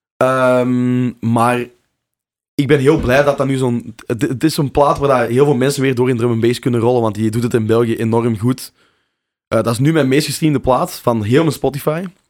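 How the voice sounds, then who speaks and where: A man talks at a moderate pace and a medium pitch. His intonation is fairly even. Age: 20s. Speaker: drum and bass DJ and producer. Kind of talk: casual interview chat. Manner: halting, many fillers and repeats.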